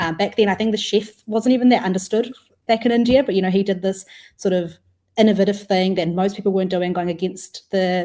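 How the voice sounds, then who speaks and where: A woman with a New Zealand accent speaks at a fairly quick pace in a medium pitch, her tone dark and mellow and her intonation fairly even. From New Zealand, Wellington. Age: 20s. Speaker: food startup co-founder. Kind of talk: podcast interview.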